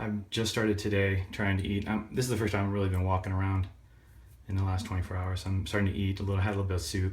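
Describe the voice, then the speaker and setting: A somewhat breathy man, fairly low in pitch, very fast and monotone and flat, with audible room echo. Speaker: vlogger, surgery patient. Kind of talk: personal vlog, recovery story. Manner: rambling, halting with fillers.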